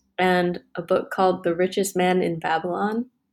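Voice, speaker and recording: A woman with an American accent uses a plain, everyday voice at medium pitch and fairly even intonation. She goes at a fairly slow pace on a very clean recording with a silent background. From US Midwest, Wisconsin. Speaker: mechanical engineer. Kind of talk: casual interview.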